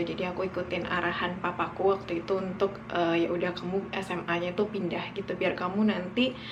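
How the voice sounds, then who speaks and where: A woman at medium pitch and moderate pace, with audible room echo and noticeable background noise. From West Sumatra, Indonesia (Minangkabau village near Bukittinggi). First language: Minangkabau (speaking Indonesian). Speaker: vlogger. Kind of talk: casual storytelling vlog. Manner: casual, with many fillers.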